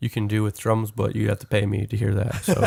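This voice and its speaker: In a very clean recording with a silent background, a man speaks at a fairly quick pace in a fairly low, somewhat breathy voice. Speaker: recording engineer and music producer. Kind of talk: casual chat.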